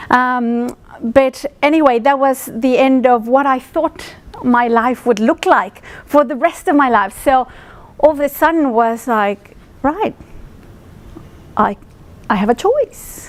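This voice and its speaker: Speaking at a very slow pace, a woman uses a high pitch with ordinary pitch variation. Her pauses are long and frequent. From Mexico City. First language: Spanish. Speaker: speaker at industry roadshow, finance professional. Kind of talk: presentation to audience. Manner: many fillers, hesitant.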